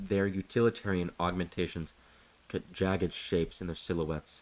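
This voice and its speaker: Pitched very deep and low, a man's voice moves at a moderate pace with fairly even intonation. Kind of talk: ASMR sleep story reading. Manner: soft-spoken.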